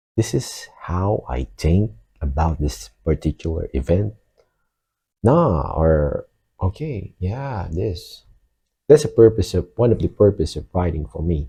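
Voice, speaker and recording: A man with a Filipino accent speaks at a fairly slow pace in a very deep, low voice with vocal fry and a dark, mellow tone. His pitch swings very widely, and the recording is very clean with a silent background. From Philippines. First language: Filipino (Tagalog). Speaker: vlogger. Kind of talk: casual monologue. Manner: hesitant, with fillers.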